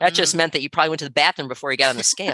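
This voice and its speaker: The voice has a bright, sharp tone, captured dry and close with no echo. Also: woman. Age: 60s. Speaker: podcast co-host, coach. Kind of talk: casual chat.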